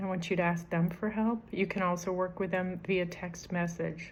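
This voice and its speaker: Against audible room echo, a woman speaks at a fairly slow pace in a somewhat breathy, fairly low voice with monotone, flat intonation. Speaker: self-help vlogger. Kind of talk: advice talk to camera. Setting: at home, dining room.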